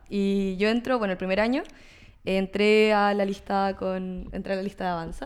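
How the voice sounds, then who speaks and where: This woman has an ordinary speaking voice at medium pitch. She talks at a moderate pace with fairly even intonation. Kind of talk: political talk show interview.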